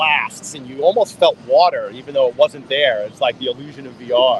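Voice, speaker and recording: A man is speaking. Background noise is noticeable. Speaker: location-based VR consultant and livestream host. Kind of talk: trade show interview. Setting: trade show floor. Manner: stuttering.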